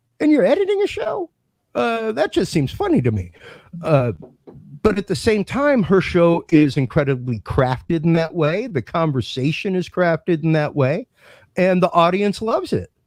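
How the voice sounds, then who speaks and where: With dry, close sound and no echo, a man talks at a moderate pace in a high pitch that makes very wide swings. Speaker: podcast host and audio producer. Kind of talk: casual chat. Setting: live stream. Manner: occasional stammering.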